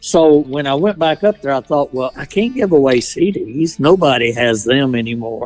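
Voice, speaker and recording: With music in the background, a speaker with a Kentucky accent talks at a moderate pace in a lively intonation, barely pausing. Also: man, fairly high pitch for a man. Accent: Southern US (Kentucky). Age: 70s. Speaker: chaplain and pastor. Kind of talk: interview answer.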